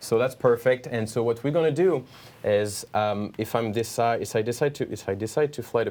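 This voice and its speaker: The speaker has a French accent and a fairly quick pace. Pitch variation is ordinary. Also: man. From France. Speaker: watch brand training manager. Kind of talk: product demonstration. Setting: studio.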